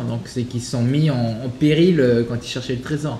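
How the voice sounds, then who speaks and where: A man at a fairly quick pace with fairly even intonation, over light background noise and audible room echo. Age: 30s. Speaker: podcast co-host. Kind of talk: casual chat. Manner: halting. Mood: relaxed, reflective. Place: home room.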